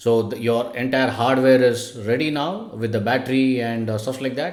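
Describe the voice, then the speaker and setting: Noticeable background noise and audible room echo fill the recording. A man speaks over it at a moderate pace with fairly even intonation. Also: medium pitch for a man. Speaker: robotics coding instructor. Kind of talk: tutorial. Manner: hesitant, many fillers.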